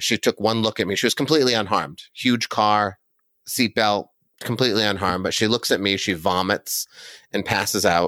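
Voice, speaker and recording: A man with a fairly low pitch speaks at a fairly quick pace in an animated, bright, sharp tone with ordinary pitch variation. The recording is very clean, with a silent background. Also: dry, close sound with no echo. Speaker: professional storyteller and author. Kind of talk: dramatic storytelling narration, first-person present tense; interview, casual conversation. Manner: vivid, suspenseful, animated.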